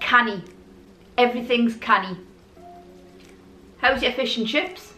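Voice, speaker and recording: Music plays behind a woman with a high-pitched voice. The room echo is audible. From Newcastle, England. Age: 40s. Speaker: vlogger. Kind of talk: casual talk to camera. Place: home room.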